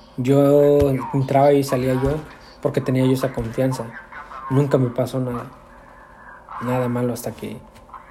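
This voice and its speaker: Against noticeable background noise, a man at medium pitch speaks at a moderate pace in a flat monotone, with long, frequent pauses. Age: 30s. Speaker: lay preacher. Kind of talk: testimony. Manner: halting.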